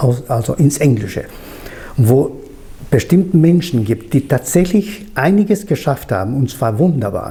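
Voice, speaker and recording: Over noticeable background noise, a man with a Spanish accent speaks at a fairly slow pace. His pitch is fairly high and swings very widely. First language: Spanish (speaking German). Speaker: interviewer. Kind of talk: interview.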